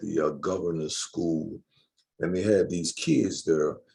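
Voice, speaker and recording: A man with a very deep, low pitch and a dark, mellow tone speaks at a moderate pace. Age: 60s. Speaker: community speaker introducing a politician. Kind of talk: panel discussion and speaker introduction.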